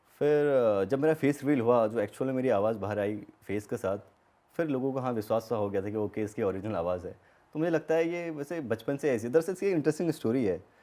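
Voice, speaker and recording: A man talks with lively intonation. His voice has a dark, mellow tone. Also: medium pitch for a man. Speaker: gaming YouTuber. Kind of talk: podcast interview.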